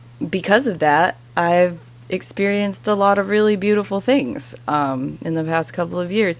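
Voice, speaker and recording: With lively intonation and a fairly slow pace, a woman speaks at a fairly low pitch. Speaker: vlogger sharing spiritual testimony. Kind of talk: personal testimony monologue. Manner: halting.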